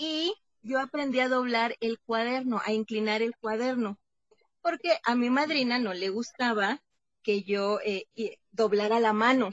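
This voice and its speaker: A woman speaks in a plain, everyday voice, fairly high in pitch and at a fairly slow pace. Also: ordinary pitch variation. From Mexico, Veracruz. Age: 30s. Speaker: psychologist and theologian. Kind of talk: interview.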